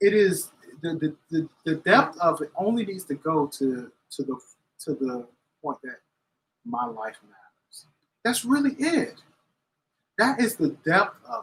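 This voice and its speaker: Pausing long and often, a high-pitched man talks fairly slowly, his pitch swinging very widely and his loudness varying greatly. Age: 40s. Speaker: cigar reviewer. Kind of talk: casual chat. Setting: cafe live stream.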